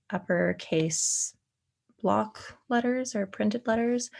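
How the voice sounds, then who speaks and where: A woman speaks with a Canadian accent on a very clean recording with a silent background. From Canada. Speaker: LSAT tutor. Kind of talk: tutorial. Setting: screen recording. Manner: hesitant, many fillers.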